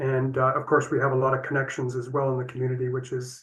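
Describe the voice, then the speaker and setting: A man with a Canadian accent, somewhat breathy, racing at a very fast pace in a flat monotone. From Northern Ontario, Canada (Sault Ste. Marie). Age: 70s. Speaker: retired architect. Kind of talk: presentation to an online seniors' group. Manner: halting, with many fillers.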